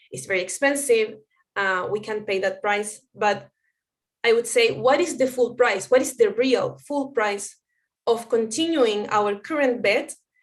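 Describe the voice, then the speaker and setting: A woman talks at a fairly slow pace in a Spanish accent. Her pitch is fairly high, with ordinary variation. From Chile. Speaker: anthropologist and researcher. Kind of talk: conference talk. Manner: halting, with fillers.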